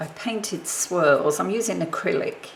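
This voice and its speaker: Over noticeable background noise, the speech unfolds at a fairly slow pace. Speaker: papercraft video maker. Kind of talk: crafting tutorial. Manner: mumbling.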